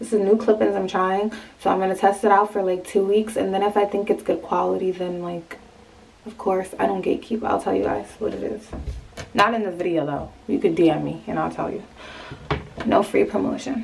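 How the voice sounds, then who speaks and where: Over noticeable background noise, the speech runs at a fairly quick pace with fairly even intonation. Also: woman, medium pitch for a woman. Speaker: hair and lifestyle vlogger. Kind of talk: casual vlog talk. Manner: casual, slangy, chatty.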